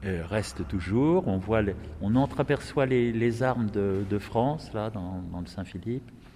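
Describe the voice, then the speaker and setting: This man speaks at a very slow pace. His pitch is fairly low. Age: 70s. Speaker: retired parish priest. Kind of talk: guided tour. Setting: on site in a church. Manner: halting.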